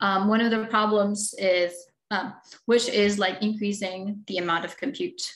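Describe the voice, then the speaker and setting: A woman talks at a medium pitch, with audible room echo. The background is quiet. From Philippines. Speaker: computer engineering researcher and lecturer; presenter. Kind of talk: technical lecture. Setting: webinar video call. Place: home room. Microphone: webcam.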